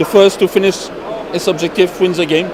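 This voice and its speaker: A high-pitched man with a French accent, noticeable background noise and audible room echo. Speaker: board game publisher representative. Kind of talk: product demonstration interview. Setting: busy trade fair. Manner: halting.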